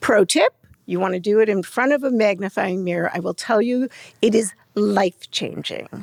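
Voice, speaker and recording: With an unremarkable speaking voice, a woman at medium pitch talks at a moderate pace with ordinary pitch variation, the sound dry and close with no echo. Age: 60s. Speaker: beauty brand founder. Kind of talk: interview.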